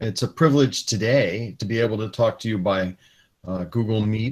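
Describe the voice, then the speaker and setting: Fairly low in pitch, a man's normal speaking voice moves at a fairly slow pace with ordinary pitch variation. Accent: American. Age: 60s. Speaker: retired space engineer giving a talk to students. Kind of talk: lecture. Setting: video call.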